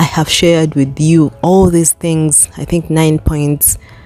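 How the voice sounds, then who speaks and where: A woman with an African accent speaks at a very slow pace in a very deep, low pitch, her dark, mellow tone keeping fairly even intonation. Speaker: motivational vlogger. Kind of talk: motivational talk to camera. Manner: casual, conversational.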